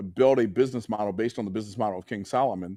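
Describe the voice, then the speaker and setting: A man with an American accent speaks at medium pitch with ordinary pitch variation. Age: 60s. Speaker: business coach and entrepreneur. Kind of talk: interview.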